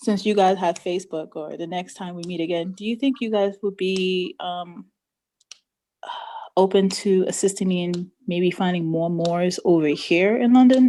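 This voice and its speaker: This woman speaks with a New York accent in a dark, mellow tone, her medium pitch showing ordinary variation, her moderate pace paired with big swings in loudness. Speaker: study group participant. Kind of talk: casual chat.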